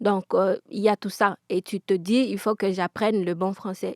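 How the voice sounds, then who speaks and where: A woman with a Congolese accent at a fairly slow pace, monotone and flat in intonation, in a very clean recording with a silent background and a dry, close sound with no echo. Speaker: interviewee. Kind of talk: testimony. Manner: halting, repeated words.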